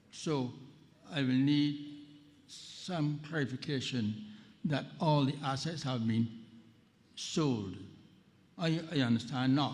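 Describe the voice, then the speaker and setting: A man with a fairly high pitch at a very slow pace, long, frequent pauses, and audible room echo. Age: 80s+. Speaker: policyholder asking a question at a public meeting. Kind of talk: question from the floor at a town hall. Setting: town hall meeting with audience, at a microphone. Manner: halting, with many repetitions.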